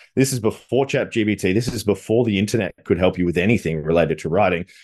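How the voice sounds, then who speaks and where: A man with an Australian accent at a fairly quick pace, lively intonation over a quiet background. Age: 30s. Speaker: business coach. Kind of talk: interview. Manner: animated.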